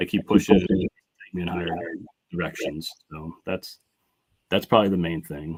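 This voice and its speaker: A man's very deep, low voice with fairly even intonation, big swings in loudness and long, frequent pauses. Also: moderate pace. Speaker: artist. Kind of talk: interview. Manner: halting, many false starts.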